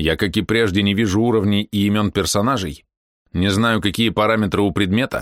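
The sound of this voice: Intonation stays fairly even in this unforced reading voice. Nothing much can be heard in the background.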